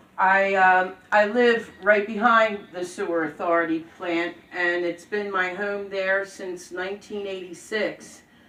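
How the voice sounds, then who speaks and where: Her medium-pitched voice runs at a fairly slow pace with monotone, flat intonation and hardly any pauses from this woman. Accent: Philadelphia. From Norristown, Pennsylvania. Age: 60s. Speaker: local resident, public commenter. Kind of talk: public comment.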